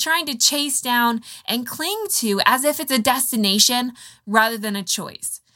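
A woman's high, bright and sharp voice, raised and projected, animated in tone, with very wide pitch swings. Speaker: health podcast host. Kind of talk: solo podcast teaching. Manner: fast.

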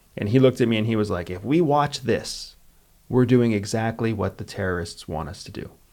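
Using an ordinary speaking voice with an American accent, a man speaks at a medium pitch with ordinary pitch variation and big swings in loudness. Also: fairly quick pace. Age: 40s. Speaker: former spy and military veteran, podcast host. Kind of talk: casual chat.

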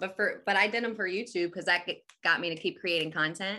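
Against a quiet background, a woman speaks in a New Jersey accent at medium pitch. Her tone is bright and sharp, with ordinary pitch variation. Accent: New Jersey American. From New Jersey, Atlantic City area. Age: 30s. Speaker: podcast host. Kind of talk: casual chat.

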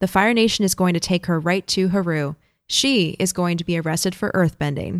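In a very clean recording with a silent background, a woman with a plain, everyday voice talks at a moderate pace and a medium pitch. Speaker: podcast host. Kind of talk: casual chat, episode recap discussion.

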